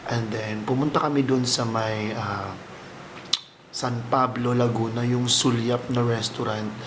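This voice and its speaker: Speaking very slowly with fairly even intonation, a man keeps to a medium pitch. Noticeable background noise and audible room echo fill the recording. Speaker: vlogger. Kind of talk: casual vlog talk to camera. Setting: at home.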